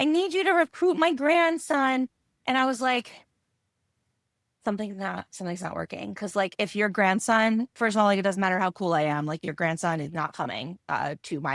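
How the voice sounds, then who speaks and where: Loud, animated and bubbly female voice at medium pitch, with very wide pitch swings and a moderate pace, dry and close with no echo on a very clean recording with a silent background. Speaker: web designer. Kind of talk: casual interview. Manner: loud, bubbly.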